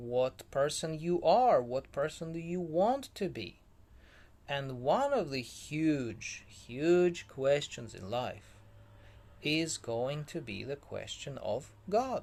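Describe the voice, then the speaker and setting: On a very clean recording with a silent background, a man with a fairly high pitch speaks very slowly with lively intonation. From former Soviet Union. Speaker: vlogger. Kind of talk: casual talk-to-camera monologue. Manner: hesitant, many fillers.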